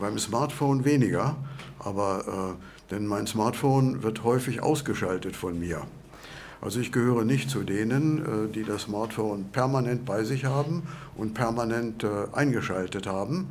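At a fairly slow pace, a man talks at a medium pitch with ordinary pitch variation in a room with audible echo. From Lower Saxony, Germany. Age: 70s. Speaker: retiree, course participant. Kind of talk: interview. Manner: halting, many fillers.

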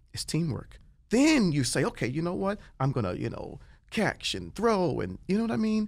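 With an American accent, the man talks at a moderate pace. Very clean audio leaves the background silent. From Washington, D.C. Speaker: celebrity chef. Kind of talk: casual chat. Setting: studio. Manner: animated.

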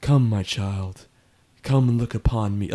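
Using a put-on character voice, a man speaks at a moderate pace and medium pitch with fairly even intonation. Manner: very calm, slow cadence.

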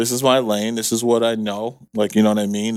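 A man with an American accent and medium pitch, a plain, everyday voice at a fairly quick pace, in a very clean recording with a silent background. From New York City. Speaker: construction and millwork business owner. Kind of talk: casual interview.

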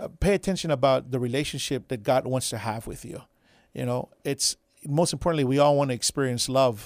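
Man with an American accent and an ordinary speaking voice, a fairly quick pace, ordinary pitch variation, and a dry, close sound with no echo in a very clean recording with a silent background. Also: medium pitch for a man. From Texas, south side of San Antonio. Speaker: pastor. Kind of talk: radio interview.

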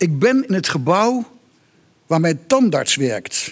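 A man's high-pitched voice with lively intonation. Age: 60s. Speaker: writer. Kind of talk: reading aloud. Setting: stage with audience.

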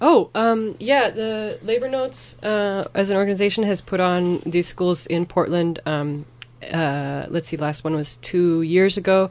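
Against a quiet background, a woman with an American accent uses a normal speaking voice at a medium pitch, talking at a fairly slow pace with lively intonation and hardly any pauses. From US Pacific Northwest. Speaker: Spanish teacher. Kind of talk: casual chat.

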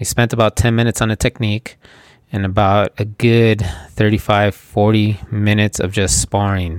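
A man speaks at a moderate pace in a fairly low, monotone voice with flat intonation. The sound is dry and close, with no echo. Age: 40s. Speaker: podcast host, jiu-jitsu practitioner. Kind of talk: solo podcast monologue.

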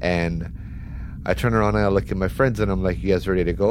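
A man's very deep, low voice with vocal fry, very wide pitch swings and a fairly quick pace, in audible room echo. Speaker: storyteller. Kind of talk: first-person ghost story telling. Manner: tense, building urgency.

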